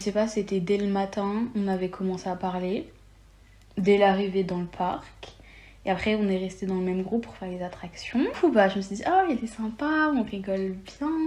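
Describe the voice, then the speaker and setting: A somewhat breathy woman's voice with ordinary pitch variation, big swings in loudness and a moderate pace. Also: medium pitch for a woman. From France (Lyon). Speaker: podcast guest. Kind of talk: casual chat.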